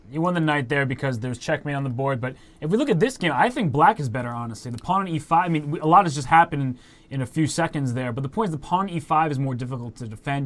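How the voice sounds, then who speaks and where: This man's voice sits fairly high, with ordinary pitch variation. He speaks at a very fast pace. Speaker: chess commentator. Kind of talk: live commentary.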